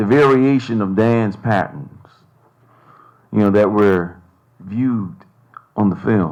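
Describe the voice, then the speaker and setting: A man with an American accent speaks at a very slow pace, leaving long, frequent pauses. His pitch varies in an ordinary way, and the room echo is audible. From Bermuda. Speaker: panelist, academic. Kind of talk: panel discussion. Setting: stage with audience.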